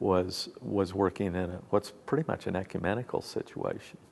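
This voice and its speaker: With vocal fry and a very deep, low pitch, a man talks at a moderate pace. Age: 60s. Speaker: pastor. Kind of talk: interview. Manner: halting.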